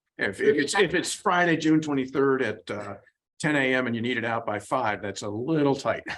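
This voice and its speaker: A man with a plain, everyday voice speaks at a fairly quick pace in a medium pitch, his intonation lively. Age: 60s. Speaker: town committee member. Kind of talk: public meeting discussion.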